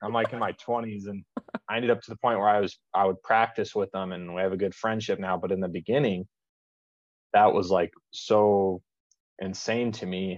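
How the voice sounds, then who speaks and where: A man speaks with an American accent at a fairly quick pace. His intonation is fairly even, in a plain, everyday voice. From Las Vegas, Nevada, US. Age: 30s. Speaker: ammunition company president and competitive shooter. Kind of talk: casual chat.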